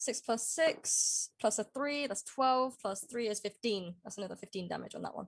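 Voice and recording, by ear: At a moderate pace, a woman talks with a fairly high pitch, vocal fry and ordinary pitch variation.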